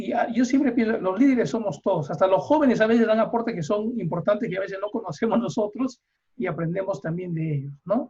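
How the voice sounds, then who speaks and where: The tone is dark and mellow. The intonation is lively. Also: man, high pitch for a man. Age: 60s. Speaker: psychotherapist and course leader. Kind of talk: online seminar discussion. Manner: halting.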